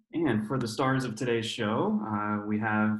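A man's voice with ordinary pitch variation, audible room echo and a quiet background. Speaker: webinar host. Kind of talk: introduction of guests. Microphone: webcam.

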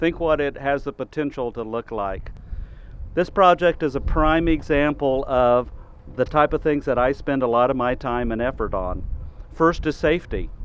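A man speaks at medium pitch and a moderate pace. His pitch varies in an ordinary way.

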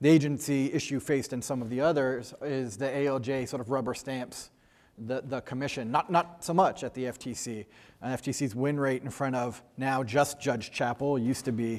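His intonation remains fairly even. The man keeps a moderate pace. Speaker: panel moderator. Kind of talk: panel introduction remarks. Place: hall. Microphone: lapel.

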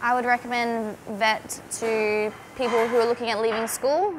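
A woman with an Australian accent speaks at a moderate pace with fairly even intonation over noticeable background noise. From Australia, Northern Territory (Darwin). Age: 20s. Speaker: cookery student. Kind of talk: testimony. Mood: upbeat, enthusiastic. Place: kitchen. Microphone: lapel.

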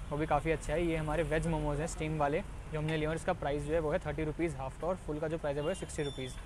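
Over music in the background, the speech races at a very fast pace in a dry sound with no echo. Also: man. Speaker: food vlogger. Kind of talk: casual vlog chat. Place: market.

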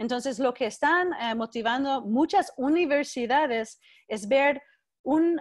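A woman speaks in an American accent with a high pitch and ordinary pitch variation. The background is quiet. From US West Coast, Berkeley, California; California. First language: English (speaking Spanish). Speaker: education researcher and professor; guest lecturer. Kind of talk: keynote lecture. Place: home room. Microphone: video call.

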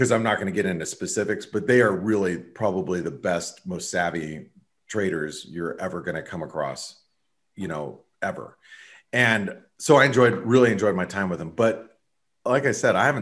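Against a quiet background, a man with an American accent speaks at a moderate pace in a fairly low pitch with lively intonation. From US Southwest. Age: 40s. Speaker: trader; guest. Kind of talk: casual chat. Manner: halting. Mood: relaxed, reflective. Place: home room. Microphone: webcam.

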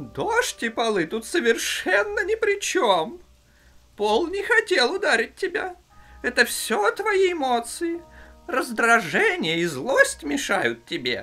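A cartoonish character voice with a high pitch speaks at a fairly slow pace. Faint music plays in the background. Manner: calm, patient, instructive.

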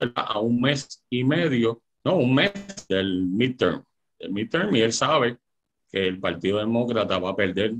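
A man's medium-pitched voice with ordinary pitch variation against a quiet background. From Puerto Rico. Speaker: lawyer and political panelist. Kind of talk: political panel debate on radio. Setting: radio studio broadcast. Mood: critical, argumentative. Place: home room. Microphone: video call.

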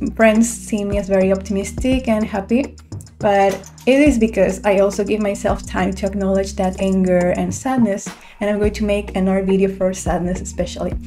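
A woman talking at a fairly quick pace over light background noise. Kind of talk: casual vlog chat. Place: home room. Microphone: studio mic.

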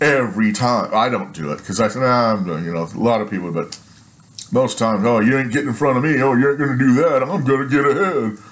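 The man's intonation is lively, and his speech rushes at a very fast pace. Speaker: vlogger. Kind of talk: casual vlog chat. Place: home room. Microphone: webcam.

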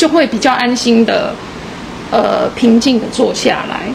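A woman's high-pitched voice proceeds at a moderate pace while noticeable background noise runs underneath. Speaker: student group leader. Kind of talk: group sharing. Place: hall. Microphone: handheld.

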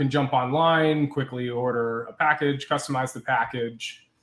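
Speaking at a fairly slow pace, a man with a fairly high pitch and fairly even intonation has a plain, everyday voice. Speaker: software company presenter. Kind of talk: webinar product demo. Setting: video call.

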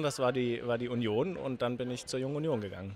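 A man speaks at a very fast pace. The sound is dry with no echo, with light background noise. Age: 20s. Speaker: youth party politician. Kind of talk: interview answer. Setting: event venue, interview at a youth politics conference. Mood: friendly, smiling. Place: hall. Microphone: handheld.

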